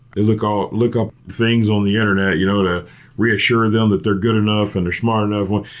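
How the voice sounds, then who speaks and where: In a very clean recording with a silent background, a man talks at a moderate pace in a fairly low pitch, his intonation monotone and flat and his loudness very even. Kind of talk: casual chat.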